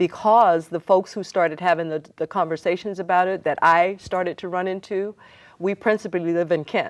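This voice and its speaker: A plain, everyday voice from a woman with an American accent, medium pitch, fairly even intonation and a fairly quick pace, against a quiet background. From Seattle, US Pacific Northwest. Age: 60s. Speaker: community organizer and city council candidate. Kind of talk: TV interview.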